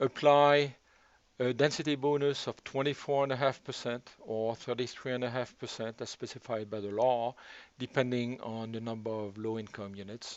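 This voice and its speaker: Fairly even intonation at a moderate pace. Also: man, medium pitch for a man. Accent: French. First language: French. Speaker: local resident and policy analyst. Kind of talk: presentation. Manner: formal.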